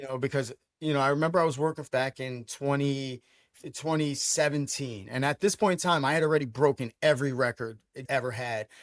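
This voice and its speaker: Speaking at a fairly quick pace with a New York accent, a man with a fairly high pitch shows ordinary pitch variation and big swings in loudness, in a dry, close sound with no echo. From Brooklyn, New York. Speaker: sports franchise owner. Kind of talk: podcast interview. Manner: animated.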